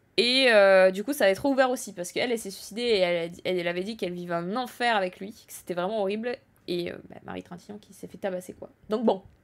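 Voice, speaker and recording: The speech runs at a very fast pace, with ordinary pitch variation and big swings in loudness. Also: woman, medium pitch for a woman. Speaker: streamer commenting on news. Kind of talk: live stream commentary. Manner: stumbling over words.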